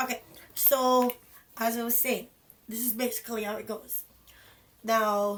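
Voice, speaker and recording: At a fairly slow pace, a woman with a fairly high pitch speaks in a monotone, flat way, with long, frequent pauses. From Jamaica. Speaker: vlogger. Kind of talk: casual vlog talk.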